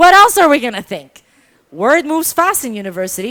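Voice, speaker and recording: On a very clean recording with a silent background, a woman speaks in a high, bright, sharp voice with very wide pitch swings and an animated tone. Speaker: storyteller. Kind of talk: storytelling performance. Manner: loud.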